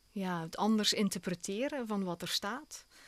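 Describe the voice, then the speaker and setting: Speaking at a fairly slow pace, a woman uses a medium pitch with a Belgian Limburg accent. The sound is dry and close, with no echo. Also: very clean recording, silent background. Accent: Belgian Limburg Flemish. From Belgian Limburg, Hasselt. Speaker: opera singer. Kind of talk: radio interview. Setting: radio studio.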